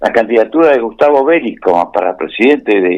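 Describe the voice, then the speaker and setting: A man speaks at a medium pitch. His voice swings very widely in pitch. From Argentina. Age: 70s. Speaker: writer and politician. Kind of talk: radio interview. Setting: remote line to radio program.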